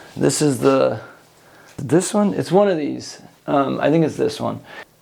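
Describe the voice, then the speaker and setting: Fairly slow speech from a man with an American accent, noticeable background noise underneath. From Long Beach, California. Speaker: musician and artist. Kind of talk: interview answer. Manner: slow, deliberate; thoughtful.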